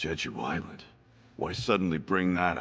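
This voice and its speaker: A raspy, put-on character voice from a man, very deep and low in pitch, at a moderate pace. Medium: short film. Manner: blunt, confrontational.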